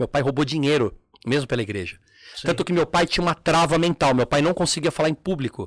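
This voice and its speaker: Speaking very fast, a man uses lively intonation with vocal fry. The sound is dry and close with no echo, on a very clean recording with a silent background. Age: 40s. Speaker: umbanda practitioner and former teacher at a terreiro. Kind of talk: casual chat.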